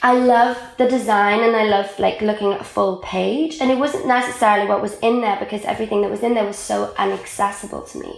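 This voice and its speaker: A woman with a South Wales accent talks in an animated tone at a very fast pace with hardly any pauses, over noticeable background noise. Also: fairly high pitch for a woman. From Wales, Caerphilly. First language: Welsh. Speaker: magazine editor and writer. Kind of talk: casual interview chat.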